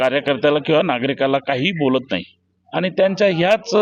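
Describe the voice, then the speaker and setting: A man with a fairly high pitch talks in a plain, everyday voice with ordinary pitch variation. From Nashik district, Maharashtra. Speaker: aspiring election candidate. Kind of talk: street interview.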